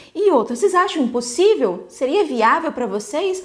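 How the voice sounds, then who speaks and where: A high-pitched woman at a moderate pace, her voice making very wide pitch swings. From Bahia, Brazil. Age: 30s. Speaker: emotional health coach. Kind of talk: live webinar talk. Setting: live online stream.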